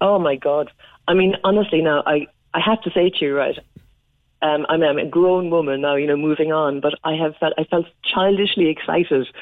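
Speaking at a fairly quick pace with very even loudness, a woman with a Cork accent has a very deep, low pitch. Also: ordinary pitch variation. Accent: Irish (Cork). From Ireland. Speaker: Irish diaspora community leader. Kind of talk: radio interview. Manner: chatty.

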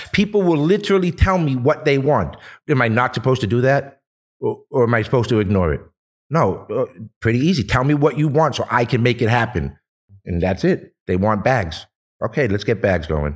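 In a Boston accent, an animated man of medium pitch talks fairly quickly with vocal fry and very wide pitch swings, on a very clean recording with a silent background. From Boston, East Boston. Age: 40s. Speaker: cannabis brand owner. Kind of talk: casual chat.

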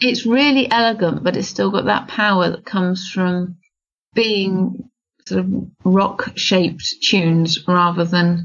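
Somewhat breathy, a woman speaks at a medium pitch and a fairly slow pace, with ordinary pitch variation. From England (Oxford). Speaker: para equestrian athlete. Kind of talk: interview.

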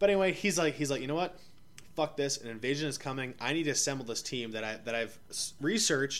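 A man talks at a very fast pace with a Canadian accent. His fairly high voice has lively intonation. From Ottawa, Canada. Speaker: podcast co-host. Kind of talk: casual chat. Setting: living room.

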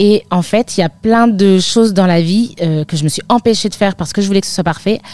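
This woman's voice sits at a medium pitch, dark and mellow in tone, moving at a fairly quick pace with ordinary pitch variation. The sound is dry and close, with no echo. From northern France, near Lille. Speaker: midwife. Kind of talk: interview.

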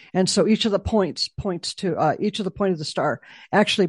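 A quiet background behind a female speaker at a moderate tempo. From Chicago. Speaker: memorial foundation executive director, military veteran. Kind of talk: interview. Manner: halting, many fillers.

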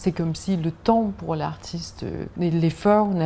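A woman with a Danish accent talks at a fairly slow pace in a fairly low, dark, mellow, somewhat breathy voice with ordinary pitch variation. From Denmark. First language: Danish (speaking French). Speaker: art gallery owner. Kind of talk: casual interview. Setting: outdoors on a riverside barge.

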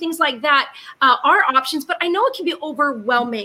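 A woman's raised, projected voice, high in pitch with lively intonation. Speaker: co-host. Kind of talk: casual panel chat.

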